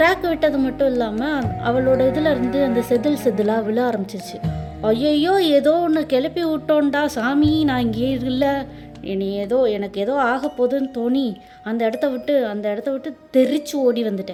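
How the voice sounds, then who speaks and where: Over music in the background, a woman speaks at a high pitch with lively intonation. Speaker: storyteller, voiceover narrator. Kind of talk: casual first-person dream story. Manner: casual, chatty.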